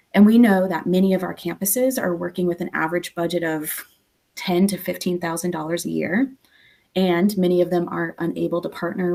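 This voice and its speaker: A woman's dark, mellow tone with fairly even intonation. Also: very clean recording, silent background. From not US East Coast. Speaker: nonprofit representative, panelist. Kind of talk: panel discussion presentation. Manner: fast.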